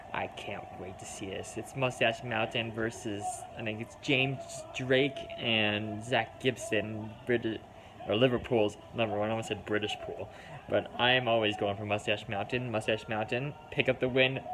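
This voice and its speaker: An American accent delivered in a flat, monotone way. The pace is moderate, with noticeable noise in the background. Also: man, medium pitch for a man. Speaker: wrestling fan reaction streamer. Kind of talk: live reaction commentary.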